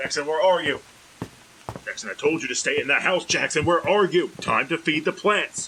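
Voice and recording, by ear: In a put-on character voice, a man speaks at a moderate pace with fairly high pitch, ordinary pitch variation, a bright, sharp tone and a slightly husky edge.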